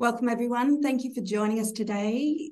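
A woman's somewhat breathy voice with a dark, mellow tone, ordinary pitch variation and a moderate pace. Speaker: bank executive webinar host. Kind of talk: formal webinar introduction. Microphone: video call.

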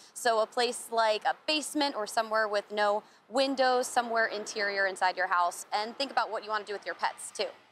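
Against light background noise, a woman speaks at a fairly quick pace with ordinary pitch variation, the sound dry with no echo. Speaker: weather news field reporter. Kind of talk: news report to camera. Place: street. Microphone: handheld.

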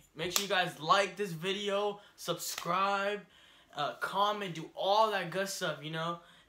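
Noticeable background noise sits behind a man speaking at a moderate pace. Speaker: vlogger. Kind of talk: casual vlog chat. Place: home room. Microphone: camera far.

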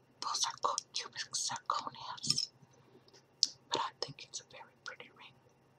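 The woman is whispering. She goes at a fairly slow pace. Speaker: ASMR creator. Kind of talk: ASMR whispered show and tell. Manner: whispered; chewing gum while talking.

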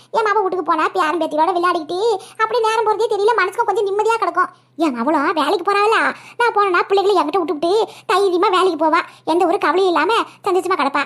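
A woman uses a cartoonish character voice pitched extremely high, with ordinary pitch variation. She speaks at a fairly quick pace. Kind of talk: cartoon comedy voice acting. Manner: talkative, folksy.

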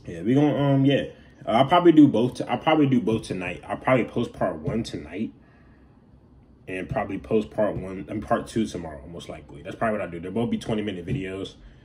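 Over light background noise, a somewhat breathy voice races at a very fast pace, with very wide pitch swings and big swings in loudness. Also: man, fairly low pitch for a man. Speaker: reaction video creator. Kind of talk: casual vlog chat. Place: home room. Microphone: phone near.

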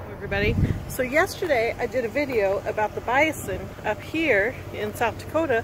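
Noticeable background noise surrounds a woman whose voice sounds dry, with no echo. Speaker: RV travel vlogger. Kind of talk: casual vlog chat. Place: open country. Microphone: phone near.

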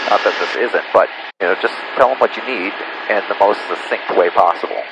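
A man's voice comes through against noticeable background noise. The sound is dry, with no echo. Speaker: flight instructor. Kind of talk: instruction. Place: plane. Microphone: headset.

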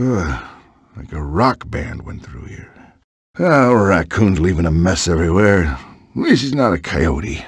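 The speaker uses a raspy, put-on character voice at a moderate pace. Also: man, very deep, low pitch for a man. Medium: video game.

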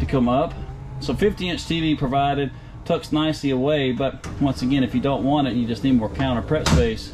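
Loud background noise runs under the recording. A man speaks at a fairly quick pace with ordinary pitch variation. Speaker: presenter. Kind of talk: product walkthrough commentary. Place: home room. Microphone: phone near.

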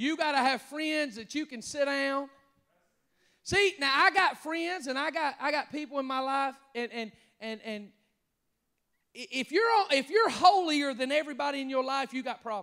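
Against a quiet background, a man with an extremely high pitch raises and projects his voice in a bright, sharp, animated tone, keeping a moderate pace with ordinary pitch variation and long, frequent pauses. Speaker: pastor. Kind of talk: sermon; call-and-response preaching, urging the congregation to shout amen. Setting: church with congregation, also streamed online. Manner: animated, fervent, exhorting the crowd with repeated calls; stumbling, repeating words in the heat of the moment. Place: church. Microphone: handheld.

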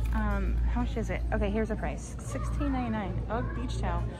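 A woman speaks at a moderate pace. Clear music sounds in the background. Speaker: shopping vlogger. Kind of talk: casual vlog chat. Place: shop. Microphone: phone near.

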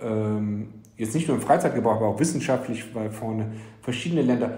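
A man's somewhat breathy voice at medium pitch, dark and mellow in tone, with fairly even intonation and audible room echo. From Frankfurt, Germany. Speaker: entrepreneur. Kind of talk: interview. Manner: hesitant with many fillers.

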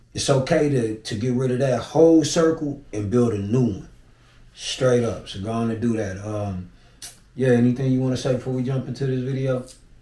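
With a dark, mellow tone and a somewhat breathy quality, a man talks at a fairly quick pace and medium pitch, with ordinary pitch variation and audible room echo. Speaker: YouTube reaction host. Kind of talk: casual reaction chat. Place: home room. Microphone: camera far.

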